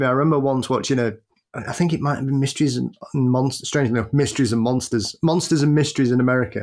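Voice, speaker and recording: A man with a Sheffield accent talks at a very fast pace. His intonation stays fairly even. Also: medium pitch for a man. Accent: British, Sheffield. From Sheffield, England. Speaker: podcast co-host.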